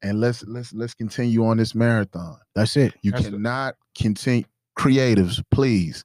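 An unremarkable speaking voice with an American accent, at a moderate pace with fairly even intonation, in a dry, close sound with no echo and a very clean recording over a silent background. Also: man, medium pitch for a man. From US South. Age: 30s. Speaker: entrepreneur and artist. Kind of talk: casual chat.

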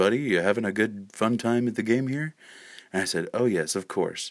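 On a very clean recording with a silent background, a soft-spoken man talks at a moderate pace with a medium pitch and ordinary pitch variation. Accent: American. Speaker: podcast host. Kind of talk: casual storytelling monologue. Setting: at home at night.

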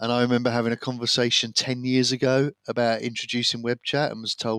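A man with an English accent talks at a very fast pace in medium pitch, monotone and flat. The recording is very clean with a silent background, and the sound is dry and close with no echo. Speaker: podcast co-host, businessman. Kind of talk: casual chat.

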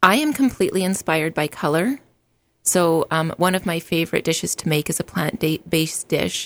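A woman with a western Canadian accent speaks at a fairly quick pace, her fairly low pitch showing ordinary variation. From Alberta, Canada. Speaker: meal prep business owner. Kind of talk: casual interview. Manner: frequent filler ums.

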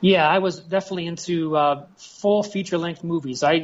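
At a fairly quick pace, a man talks with a fairly high pitch and ordinary pitch variation.

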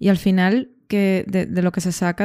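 A dark, mellow tone carries fairly even intonation in a dry, close sound with no echo. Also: woman, very clean recording, silent background. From Venezuela, Caracas. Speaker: podcast host. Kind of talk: casual chat.

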